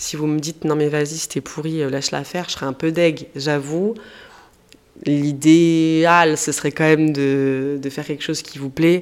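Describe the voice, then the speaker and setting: A woman with a very deep, low pitch, talking at a moderate pace. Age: 30s. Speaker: podcaster. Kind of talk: casual monologue. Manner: animated.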